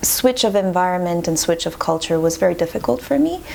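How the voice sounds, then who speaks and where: The speaker has a French accent. Noticeable background noise runs under the voice. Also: woman. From Montreal, Quebec. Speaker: classical violinist. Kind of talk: interview.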